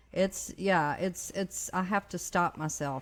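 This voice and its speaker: A woman with a fairly low pitch speaks at a moderate pace with fairly even intonation, in a normal speaking voice. The recording is very clean, with a silent background. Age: 50s. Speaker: mental health advocate. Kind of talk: casual chat.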